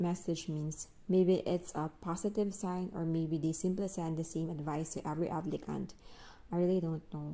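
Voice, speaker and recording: A woman with a Filipino accent speaks at a moderate pace in a fairly low pitch, her tone dark and mellow and her intonation fairly even, on a very clean recording with a silent background. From Philippines. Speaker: English teacher and vlogger. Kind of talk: personal vlog narration. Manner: reflective.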